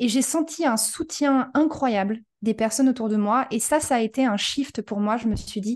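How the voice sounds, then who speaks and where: A woman with an unremarkable speaking voice, fairly high in pitch, speaks at a moderate pace with ordinary pitch variation against a quiet background. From France. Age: 30s. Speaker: human design coach, former restaurant operations director. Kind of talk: casual interview.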